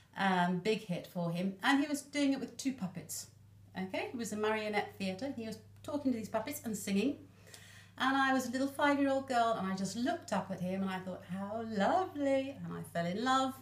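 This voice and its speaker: Somewhat breathy, a woman speaks at a fairly quick pace and fairly high pitch with lively intonation. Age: 60s. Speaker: Elvis fan and enthusiast. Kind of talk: casual interview chat.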